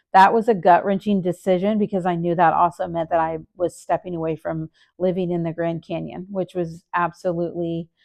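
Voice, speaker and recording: A woman talks at a fairly quick pace with a fairly low pitch. Her intonation is monotone and flat. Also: hardly any pauses. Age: 60s. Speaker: nurse and vlogger. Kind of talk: casual vlog update.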